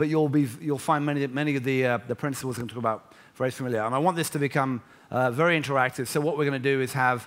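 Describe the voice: This is plain reading aloud, and the intonation is fairly even.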